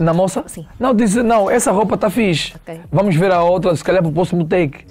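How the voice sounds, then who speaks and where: Ordinary pitch variation runs through a man's fairly quick delivery. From Angola, Benguela; Angola. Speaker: singer; guest. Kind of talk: casual chat. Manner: calm. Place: studio. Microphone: lapel.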